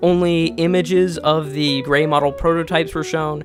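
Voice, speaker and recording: With music in the background, a man talks at a fairly high pitch and with ordinary pitch variation. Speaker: toy review youtuber. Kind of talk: casual video commentary. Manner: halting.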